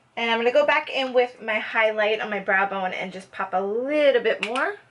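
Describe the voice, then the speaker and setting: Noticeable background noise accompanies a woman with a fairly high pitch and ordinary pitch variation, speaking at a fairly quick pace. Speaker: beauty youtuber. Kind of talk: makeup tutorial. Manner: casual, chatty; soft-spoken.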